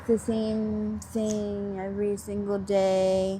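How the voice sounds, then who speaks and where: A woman speaks at a medium pitch with monotone, flat intonation. Her voice is somewhat breathy. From Pennsylvania, Montgomery County. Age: 30s. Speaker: interviewee, person living on the street. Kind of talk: interview. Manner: halting, many fillers.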